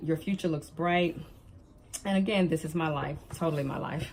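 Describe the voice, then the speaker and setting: A woman with a Southern US accent at a fairly low pitch, moderate pace and fairly even intonation. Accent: Southern twang. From US South, Alabama. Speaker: planner vlogger, life coach. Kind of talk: show-and-tell vlog. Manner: chatty, hesitant with many ums.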